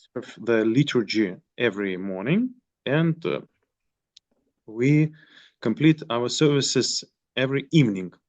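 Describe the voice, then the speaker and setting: The speaker has a Russian accent and lively intonation. The pace is fairly slow, with long, frequent pauses. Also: man, medium pitch for a man. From Moscow, Russia. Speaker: monk priest. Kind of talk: online group meeting. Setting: video call. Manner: halting.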